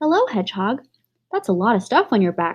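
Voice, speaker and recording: A croaky, put-on character voice from a woman, fairly high in pitch, with very wide pitch swings and a fairly quick pace. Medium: read story.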